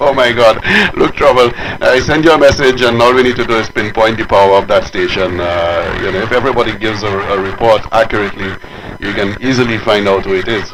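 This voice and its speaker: Noticeable background noise behind a fairly quick man's voice of medium pitch. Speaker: amateur radio operator. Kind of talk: radio chat. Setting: amateur radio transmission. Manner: fast.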